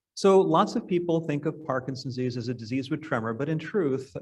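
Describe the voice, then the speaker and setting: A man with an American accent speaks at a very fast pace in a somewhat breathy voice. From New York. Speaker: neurologist. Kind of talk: lecture. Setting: stage with audience.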